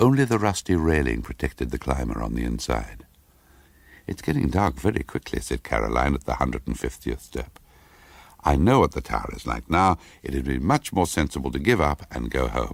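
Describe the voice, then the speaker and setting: A man's very deep, low voice with vocal fry, fairly quick, with lively intonation. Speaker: actor. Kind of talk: short story reading. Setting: studio.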